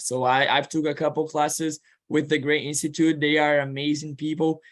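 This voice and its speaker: The intonation is monotone and flat, with a Portuguese accent. The pace is moderate. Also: man. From Brazil. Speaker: student and admissions counselor. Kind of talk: informational presentation. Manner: halting.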